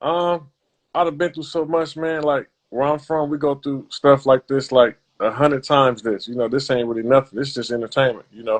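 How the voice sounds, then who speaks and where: The man talks at a fairly quick pace in a fairly high pitch. His intonation stays fairly even. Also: big swings in loudness. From US West Coast, South Central Los Angeles. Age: 30s. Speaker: professional boxer. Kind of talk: interview. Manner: casual, relaxed.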